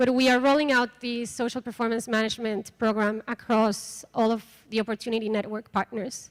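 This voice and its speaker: A woman with a Mexican accent speaks in a fairly high voice, her intonation flat and monotone. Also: fairly quick pace, hardly any pauses. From Mexico. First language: Spanish. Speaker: microfinance program coordinator. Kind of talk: conference workshop presentation.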